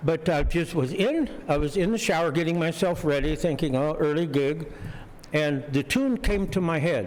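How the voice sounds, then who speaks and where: A man speaks at a moderate pace in a fairly high pitch, with ordinary pitch variation and very even loudness, over noticeable background noise. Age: 80s+. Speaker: jazz organist and composer. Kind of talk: casual talk to concert audience. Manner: halting, many fillers.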